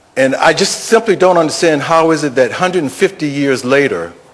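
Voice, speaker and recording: Against noticeable background noise, the man uses lively intonation and keeps a moderate pace. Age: 60s. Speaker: audience member asking questions. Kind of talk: audience question at panel. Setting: public panel event, audience microphone. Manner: halting, many fillers.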